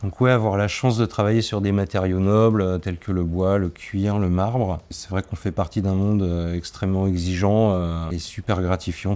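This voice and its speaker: A man's very deep, low voice in a dark, mellow tone, with fairly even intonation at a moderate pace. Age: 40s. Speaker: furniture finisher and varnisher. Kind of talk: interview testimony. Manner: hesitant, many fillers and repetitions.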